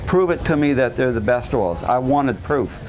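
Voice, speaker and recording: Over noticeable background noise, a man talks at a fairly quick pace. His pitch is medium, with ordinary pitch variation. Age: 60s. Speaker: renovation contractor giving a health talk. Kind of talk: public talk. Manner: conversational with fillers.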